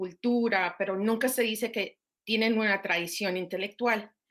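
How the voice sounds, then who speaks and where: This woman's voice is captured on a very clean recording against a silent background. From Minnesota, US. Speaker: professor. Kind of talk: interview. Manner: halting.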